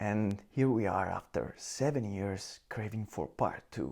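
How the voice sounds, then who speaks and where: In a non-native accent, the speaker's dark, mellow tone moves at a very slow pace in a very clean recording with a silent background. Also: man. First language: Italian. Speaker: video game reviewer. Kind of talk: video review monologue.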